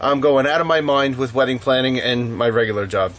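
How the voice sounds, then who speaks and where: There is noticeable noise in the background. Over it, a man speaks fairly quickly. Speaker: knife maker. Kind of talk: casual talk to camera. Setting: workshop. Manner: upbeat, chatty.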